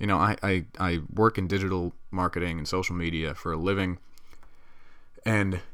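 A man speaks here. His voice sits very deep and low. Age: 20s. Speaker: podcast host. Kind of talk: casual monologue. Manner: casual, rambling with fillers.

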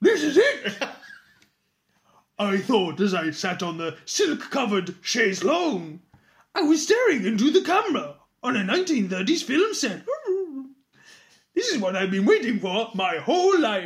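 In a put-on character voice with a fairly high pitch, the speaker swings very widely in pitch at a moderate pace, leaving long, frequent pauses. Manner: dog-like mannerisms.

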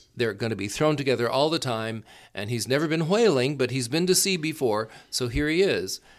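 A man with an American accent and a normal speaking voice talks at a fairly quick pace and medium pitch. His intonation is lively, and the recording is very clean with a silent background. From US South, Florida Gulf Coast. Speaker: opera company director. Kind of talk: casual interview.

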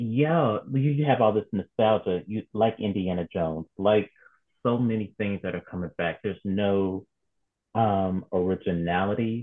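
A man's fairly low voice, an unremarkable speaking voice, at a fairly slow pace with ordinary pitch variation. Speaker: podcast host. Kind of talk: casual chat.

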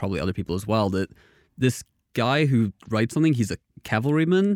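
A man speaks at a very fast pace and medium pitch, with very wide pitch swings. The recording is very clean with a silent background, a dry, close sound with no echo. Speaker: game designer. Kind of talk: casual interview chat.

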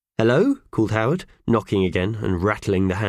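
Just a natural reading voice.

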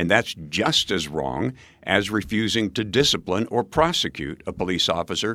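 A man with an American accent, fairly low in pitch, bright and sharp in tone, with vocal fry and very wide pitch swings at a moderate pace, on a very clean recording with a silent background. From rural Nebraska. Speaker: mayoral candidate, former radio host. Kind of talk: interview.

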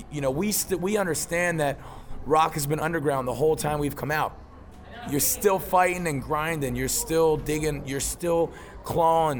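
At a moderate pace, a man with a fairly high pitch talks in fairly even intonation amid noticeable background noise. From Philadelphia, US. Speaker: rock band singer. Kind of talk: casual interview.

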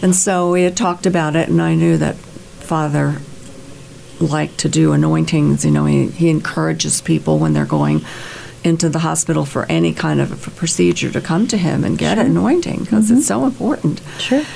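Through noticeable background noise, a woman speaks with very even loudness. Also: fairly quick pace. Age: 70s. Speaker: convert to Catholicism, retired, music ministry. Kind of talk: interview, sharing personal faith story. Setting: radio studio.

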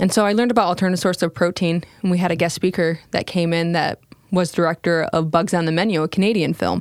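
A woman with an American accent talks at a fairly quick pace in an unremarkable speaking voice, fairly low in pitch. Her intonation stays fairly even, her loudness very even, and the sound is dry and close with no echo. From US Midwest, small-town Michigan. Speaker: cricket farm co-founder, Coast Guard veteran. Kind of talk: casual interview. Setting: studio.

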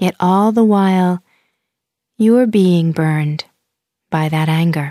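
Her voice has a dark, mellow, calm and soothing tone, as a woman speaks at a medium pitch with ordinary pitch variation in a dry, close sound with no echo. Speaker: meditation guide. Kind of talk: guided meditation. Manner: slow, calm, soothing, with long pauses; gentle, soft-spoken.

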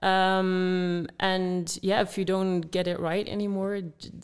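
Heard on a very clean recording with a silent background, a woman with a Dutch accent speaks at a fairly slow pace in a fairly low pitch. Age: 20s. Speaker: former distance runner, running advisor. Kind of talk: podcast interview.

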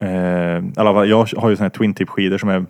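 Fairly low-pitched male speech with ordinary pitch variation. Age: 20s. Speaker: podcast co-host. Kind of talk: casual chat.

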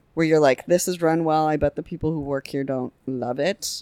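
Her pitch very deep and low, a woman talks with an American accent. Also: dry, close sound with no echo. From Saint Louis, US Midwest. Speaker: guest with PowerPoint presentation. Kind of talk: casual chat.

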